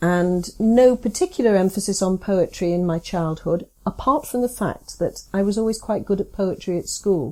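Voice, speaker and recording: A woman at a medium pitch with a dark, mellow tone and hardly any pauses. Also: ordinary pitch variation, moderate pace. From northern England, Southport (Merseyside/Lancashire). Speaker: poet and creative writing teacher. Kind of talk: interview.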